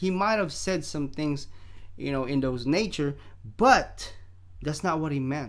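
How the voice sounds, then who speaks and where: Audible room echo surrounds a man who talks at a fairly slow pace in a fairly high voice, his animated tone showing ordinary pitch variation and broken by long, frequent pauses. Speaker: boxing commentator vlogger. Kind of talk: casual opinion vlog. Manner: animated, hesitant with fillers.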